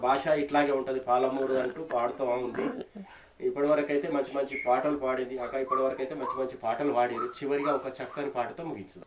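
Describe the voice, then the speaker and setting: Noticeable background noise sits behind a man speaking in a monotone, flat intonation. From Telangana, Palamuru region. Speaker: folk music channel host. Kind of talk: interview. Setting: studio.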